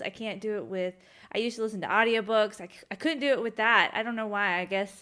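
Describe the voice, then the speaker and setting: A woman with a bright, sharp tone and a fairly high voice, recorded very cleanly against a silent background. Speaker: podcast co-host. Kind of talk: casual chat. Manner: fast.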